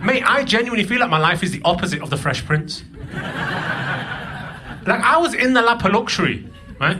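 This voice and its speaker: A man's raised, projected voice with lively intonation carries over noticeable background noise and audible room echo. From northern England, Burnley (Lancashire), moved from Pakistan at eight. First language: Punjabi. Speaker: comedian. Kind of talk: stand-up. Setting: stage with audience.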